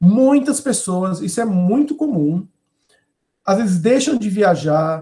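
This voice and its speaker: With a dark, mellow tone and lively intonation, a man speaks in a high voice. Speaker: professor. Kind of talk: webinar lecture and Q&A.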